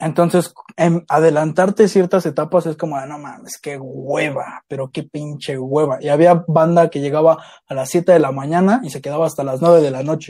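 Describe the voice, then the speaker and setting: A man speaks at a moderate pace. His loudness rises and falls sharply. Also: fairly high pitch for a man, fairly even intonation. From Mexico City (Iztapalapa). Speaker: podcast co-host. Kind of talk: casual chat.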